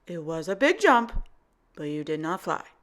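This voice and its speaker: A woman's put-on character voice, fairly low in pitch and at a moderate pace, on a very clean recording with a silent background. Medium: read story. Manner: deadpan, insistent.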